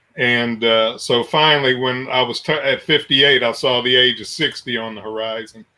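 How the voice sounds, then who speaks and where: This man has a normal speaking voice at a medium pitch. He keeps a moderate pace with fairly even intonation and hardly any pauses. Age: 60s. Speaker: radio station owner and documentary maker. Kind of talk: interview on a radio show. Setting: radio show.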